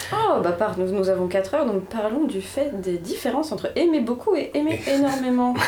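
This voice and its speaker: A woman with a high voice talks at a moderate pace with very wide pitch swings, amid audible room echo and noticeable background noise. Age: 20s. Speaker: dancer, podcast co-host. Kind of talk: casual chat. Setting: student bedroom.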